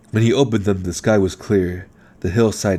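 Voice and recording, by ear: The text is read aloud in a natural voice.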